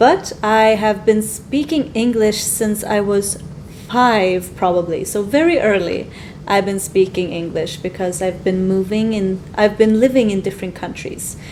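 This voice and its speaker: A woman at a fairly slow pace and medium pitch, ordinary pitch variation, noticeable background noise. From Sweden. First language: Swedish. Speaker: English teacher. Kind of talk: casual chat.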